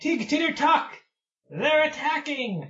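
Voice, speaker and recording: Put-on character voice from a man, pitched extremely high and delivered fairly slowly. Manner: alarmed, calling out.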